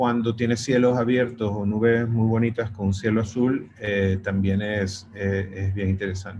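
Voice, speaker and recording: The man's intonation stays fairly even while his delivery is very slow. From Venezuela. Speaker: pet photographer. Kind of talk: interview. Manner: halting.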